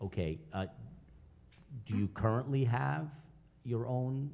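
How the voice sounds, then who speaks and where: A man's dark, mellow, somewhat breathy voice moves through very wide pitch swings. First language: not English. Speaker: village board official. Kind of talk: public hearing questioning. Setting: village board meeting.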